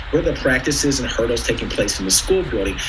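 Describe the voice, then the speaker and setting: Music plays in the background, and audible room echo is present. A man speaks with an American accent. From US Pacific Northwest, Seattle. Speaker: education nonprofit presenter. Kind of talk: presentation to a board. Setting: virtual meeting by video call. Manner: fast.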